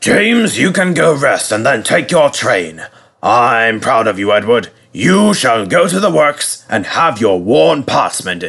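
A man puts on a character voice at medium pitch, fairly bright in tone with vocal fry and big pitch swings. He goes at a slow pace with long, frequent pauses.

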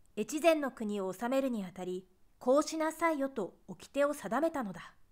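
Very wide pitch swings come at a fairly slow pace on a very clean recording with a silent background. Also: woman. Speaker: narrator. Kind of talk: essay reading.

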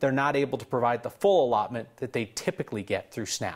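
Over a quiet background, the voice moves along at a fairly quick pace. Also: man. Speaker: news anchor. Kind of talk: news reading. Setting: studio. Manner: grave, measured, formal. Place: studio. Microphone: lapel.

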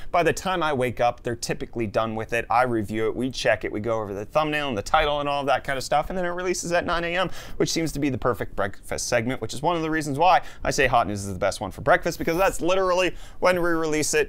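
An energetic man with a fairly high pitch and lively intonation. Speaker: tech news YouTuber. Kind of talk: casual. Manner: fast talker. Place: studio.

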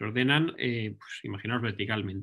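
With a Castilian accent, a man speaks at a fairly slow pace and a medium pitch. His tone is bright and sharp, and the background is quiet. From Spain, Ávila; Spain. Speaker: research scientist. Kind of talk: lecture. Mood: relaxed, friendly. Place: home room. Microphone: webcam.

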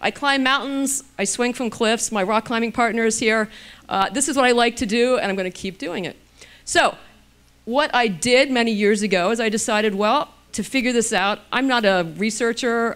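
The woman's pitch is fairly high, varying in an ordinary way, and her pace is moderate. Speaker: physician and anti-aging author. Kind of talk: lecture. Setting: stage with audience. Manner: casual, humorous. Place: hall. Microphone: handheld.

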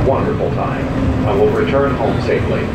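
Loud background noise surrounds a man talking at a fairly quick pace. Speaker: recorded transit announcer. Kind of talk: public announcement. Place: train.

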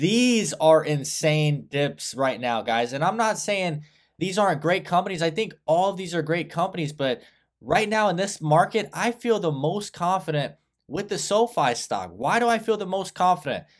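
A man with lively intonation speaks at a moderate pace while the background stays quiet. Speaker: stock commentator. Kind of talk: commentary. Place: home room. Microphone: webcam.

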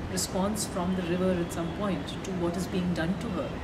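A woman speaks at a moderate pace. Loud background noise surrounds her. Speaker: interviewee. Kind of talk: interview answer. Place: street.

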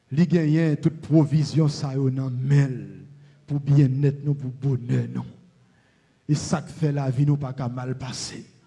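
In a Haitian accent, a man speaks very slowly with long, frequent pauses. His fairly high voice is somewhat breathy with a dark, mellow tone and monotone, flat intonation. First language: Haitian Creole (speaking French). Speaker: pastor. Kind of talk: prayer.

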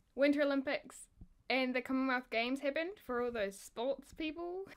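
With a New Zealand accent, a woman speaks at a high pitch with ordinary pitch variation. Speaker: YouTuber. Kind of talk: casual talk to camera. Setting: outdoors. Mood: upbeat, playful. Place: home room. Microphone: phone near.

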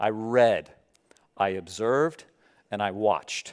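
The voice has an animated tone. The background is quiet. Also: man. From US South. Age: 30s. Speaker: pastor. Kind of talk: sermon. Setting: church. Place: church. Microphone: headset.

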